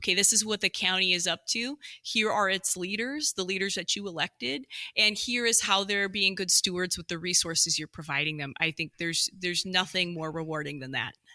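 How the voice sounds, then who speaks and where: Here a woman of medium pitch speaks at a fairly quick pace with ordinary pitch variation and a bright, sharp tone, in a dry, close sound with no echo on a very clean recording with a silent background. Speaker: government communications director. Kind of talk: podcast interview.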